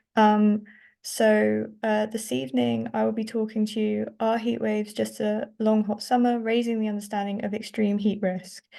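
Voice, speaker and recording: Against a quiet background, a woman with a dark, mellow tone and fairly high pitch talks at a moderate pace with fairly even intonation and hardly any pauses. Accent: English. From southern England (Reading). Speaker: climate scientist. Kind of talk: academic presentation.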